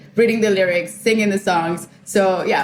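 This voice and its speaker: A woman speaks at a fairly quick pace with a slight Spanish accent, her pitch medium and her intonation fairly even. Noticeable background noise runs underneath. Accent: lighter Spanish accent than her sister. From Colombia and Ecuador. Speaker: entrepreneur and journalist. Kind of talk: podcast interview.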